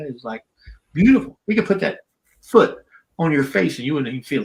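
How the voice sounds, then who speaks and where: Lively in intonation and somewhat breathy, a man with a fairly high voice speaks in a South Carolina accent. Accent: Southern US (South Carolina). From US South. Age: 70s. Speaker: retired professional wrestler. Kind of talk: casual interview chat.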